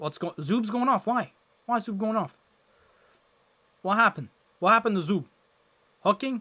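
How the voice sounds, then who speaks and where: A raised, projected, high-pitched male voice with a bright, sharp tone, fairly quick pace, long, frequent pauses, ordinary pitch variation, and a dry, close sound with no echo. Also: very clean recording, silent background. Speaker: hockey watchalong streamer. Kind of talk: live game commentary. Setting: live stream. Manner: animated.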